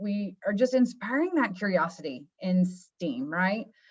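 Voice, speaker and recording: A woman speaks at medium pitch, somewhat breathy. Her intonation is lively against a quiet background. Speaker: marketing manager presenting education products. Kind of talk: webinar presentation. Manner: fast.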